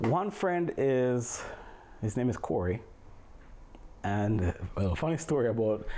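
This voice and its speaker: A man's dark, mellow voice in a strong Jamaican accent, with very even loudness, very wide pitch swings, and long, frequent pauses. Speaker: physics teacher. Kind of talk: casual family interview. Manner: eloquent.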